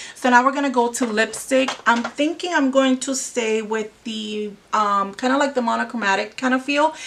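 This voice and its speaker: Amid noticeable background noise, a woman with a Spanish accent speaks at a moderate pace in a high pitch with ordinary pitch variation. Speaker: beauty vlogger. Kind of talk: makeup tutorial. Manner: casual, hesitant with fillers.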